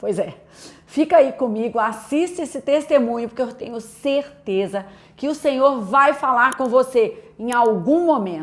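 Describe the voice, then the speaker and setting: A woman's high voice in a Minas Gerais accent, with lively intonation at a fairly slow pace. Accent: mineiro (Minas Gerais). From Brazil, Minas Gerais (Belo Horizonte). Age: adult, a mother. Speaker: pastor. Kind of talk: testimony.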